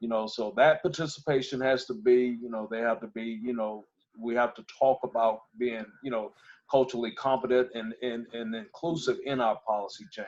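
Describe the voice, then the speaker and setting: A man's unremarkable speaking voice with an American accent, medium pitch, ordinary pitch variation, moderate pace and big swings in loudness. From US South, Gwinnett County, Georgia. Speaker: sheriff candidate and former police officer. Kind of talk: panel discussion.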